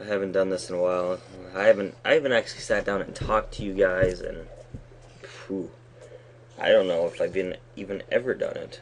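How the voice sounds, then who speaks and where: A man's mumbling at a fairly quick pace, broken by long, frequent pauses. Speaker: Minecraft let's play YouTuber. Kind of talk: gaming commentary. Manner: halting, mumbling; casual chatty. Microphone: poor recording quality.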